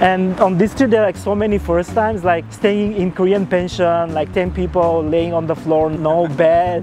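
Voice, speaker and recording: Over music in the background, a man with a high pitch talks at a moderate pace, with ordinary pitch variation and hardly any pauses. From Bulgaria. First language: Bulgarian. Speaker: startup founder and traveler. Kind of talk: interview.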